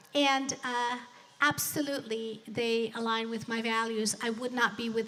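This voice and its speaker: A woman in a Spanish accent, fairly high-pitched and fairly slow, with audible room echo. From Colombia (Bogota), moved to US at 12. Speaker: business executive and motivational speaker. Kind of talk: motivational speech. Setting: stage with live audience, streamed.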